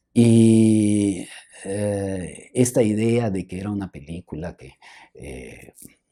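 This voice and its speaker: Soft-spoken, with a dark, mellow tone. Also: man. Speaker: film historian and professor. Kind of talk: interview conversation. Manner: hesitant, halting.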